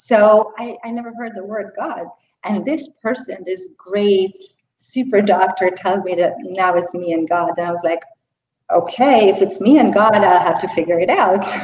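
Speaking with a Hungarian accent, a woman keeps a medium pitch, ordinary pitch variation and a moderate pace. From Hungary. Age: 40s. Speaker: yoga teacher. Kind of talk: interview. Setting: video call.

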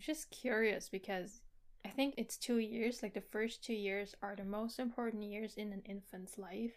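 Speaking at a moderate pace, a woman with a fairly high pitch and fairly even intonation has an ordinary speaking voice. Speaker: podcast co-host. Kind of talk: casual chat about a book.

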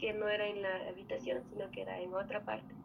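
A woman is talking at a medium pitch. Her pitch varies in an ordinary way. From Ecuador, Andean highlands (Otavalo). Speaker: guest telling a paranormal story. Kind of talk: testimony.

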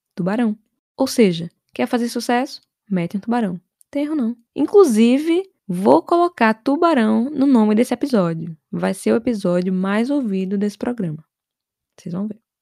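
Speaking with a Brazilian accent at a fairly high pitch, a woman uses very wide pitch swings, a dark, mellow tone, a moderate pace and long, frequent pauses, in a dry, close sound with no echo. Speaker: podcast host. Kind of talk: comedic solo podcast monologue.

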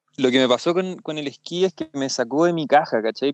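Fairly quick and fairly high-pitched, a man speaks with a Chilean accent and ordinary pitch variation. The background is quiet and the sound is dry and close, with no echo. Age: 30s. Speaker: freeride skier. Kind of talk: casual interview.

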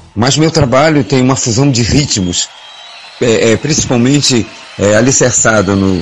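A man talks at a fairly slow pace with ordinary pitch variation. Audible room echo and noticeable background noise are present. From Belém, Pará, northern Brazil. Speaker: singer. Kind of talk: casual chat. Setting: studio. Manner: halting.

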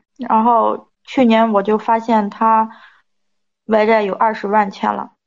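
A woman speaks at a very slow pace with a fairly high pitch. Her intonation is flat and monotone. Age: 30s. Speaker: advice show caller. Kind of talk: personal story told to an advice host. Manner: halting.

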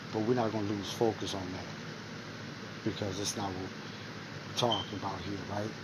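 The speaker talks at a fairly slow pace in a monotone, flat intonation. Audible room echo and noticeable background noise are present. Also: man, fairly low pitch for a man. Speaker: podcast host. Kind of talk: monologue commentary. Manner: low volume.

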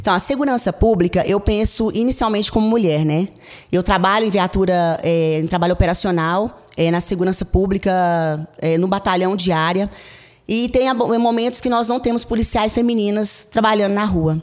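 The speech moves at a moderate pace with ordinary pitch variation. Its loudness stays very even. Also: woman, medium pitch for a woman. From Goiás, Brazil. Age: 40s. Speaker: police captain and political candidate. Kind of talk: campaign interview. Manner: halting, with frequent fillers.

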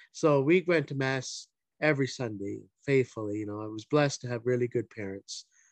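Using a normal speaking voice, a man with a Canadian accent talks at a fairly quick pace and medium pitch with ordinary pitch variation, in a dry, close sound with no echo against a quiet background. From Ontario, Canada (Hamilton). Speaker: deacon. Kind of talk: interview.

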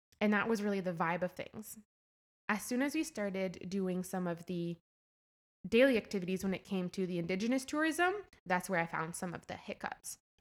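With a Canadian accent, a woman in an ordinary speaking voice talks at a fairly quick pace and medium pitch with lively intonation, on a very clean recording with a silent background. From eastern Ontario, near Cornwall. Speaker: hotel manager. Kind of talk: interview conversation. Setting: hotel games room.

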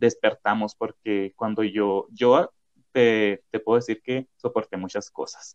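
A man with a fairly low pitch talks at a very slow pace. His intonation is fairly even, and the sound is dry and close with no echo. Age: 20s. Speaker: podcast host. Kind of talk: casual chat.

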